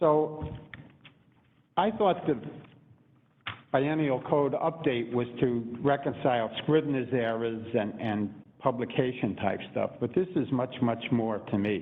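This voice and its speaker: With a Brooklyn accent, a man speaks at a very slow pace. His intonation is lively. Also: medium pitch for a man. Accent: Brooklyn New York. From New York City (Brooklyn). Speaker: public commenter. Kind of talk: public testimony.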